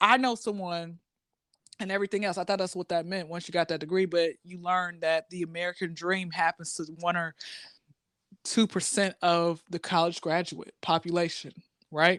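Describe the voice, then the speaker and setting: A woman speaks at a moderate pace with a fairly low pitch and fairly even intonation, in a very clean recording with a silent background. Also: dry, close sound with no echo. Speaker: college graduate and stand-up comedian. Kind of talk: casual chat. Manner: loud.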